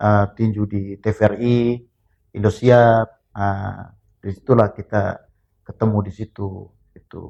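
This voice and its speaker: A man speaks with a fairly low pitch and a dark, mellow tone, his loudness swinging widely. His pace is fairly slow and his intonation flat and monotone, broken by long, frequent pauses. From Flores, East Nusa Tenggara (Bajawa, Ngada). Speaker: former boxer. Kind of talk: casual interview.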